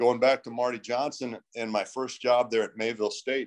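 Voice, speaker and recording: At a moderate pace, a man speaks. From Minnesota, US Upper Midwest. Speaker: strength and conditioning coach. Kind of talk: interview conversation.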